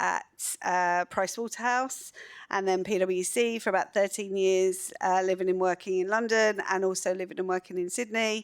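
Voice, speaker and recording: A woman speaks at medium pitch and a moderate pace, her loudness very even and her intonation monotone and flat. The recording is very clean, with a silent background. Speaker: global mobility executive. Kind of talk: panel discussion. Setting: stage with audience.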